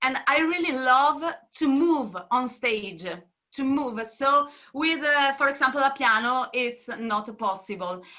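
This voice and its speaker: In an Italian accent, a woman uses a raised, projected, high-pitched voice with lively intonation at a fairly slow pace. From northern Italy. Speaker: singer and singing teacher. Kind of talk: interview. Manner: halting.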